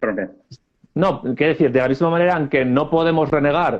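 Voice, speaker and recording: Fairly quick pace and ordinary pitch variation in an ordinary speaking voice. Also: man. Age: 30s. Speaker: political scientist. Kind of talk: interview.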